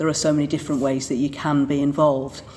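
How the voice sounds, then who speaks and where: A woman speaks with a Manchester accent. Noticeable background noise runs behind her. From Manchester, England. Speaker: Church of England vicar. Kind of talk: interview answer.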